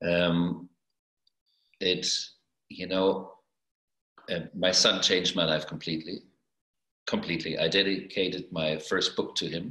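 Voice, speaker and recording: With a German accent, a man speaks at a very deep, low pitch in a bright, sharp tone. He keeps a monotone, flat intonation at a fairly slow pace with long, frequent pauses. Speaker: astrologer and artist. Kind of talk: video interview. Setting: video call.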